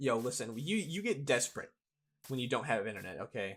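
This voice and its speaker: The man talks very fast in a voice of medium pitch. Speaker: gaming YouTuber. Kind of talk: gameplay commentary. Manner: casual, halting with repeated words.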